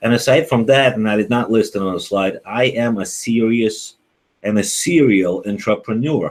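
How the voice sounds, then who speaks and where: A Ukrainian accent at a moderate pace, with ordinary pitch variation. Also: man, medium pitch for a man. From Ukraine. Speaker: accountant. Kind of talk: webinar presentation. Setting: online video broadcast. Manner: hesitant, many fillers.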